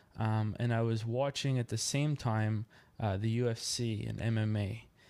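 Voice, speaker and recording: Dark and mellow in tone, a man with a Maritime Canadian accent talks at a medium pitch on a very clean recording with a silent background. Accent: Canadian (Maritimes). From Nova Scotia, Canada (Yarmouth). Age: 20s. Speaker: podcast host and amateur boxer. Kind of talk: solo podcast monologue. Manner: hesitant, many fillers.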